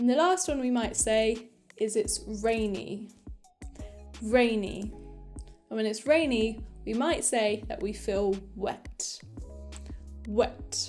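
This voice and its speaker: A woman talks very slowly, leaving long, frequent pauses, while music plays behind her. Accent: British. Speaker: English teacher. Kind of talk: English lesson to camera, beginner vocabulary. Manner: clear, slow, repeating each word.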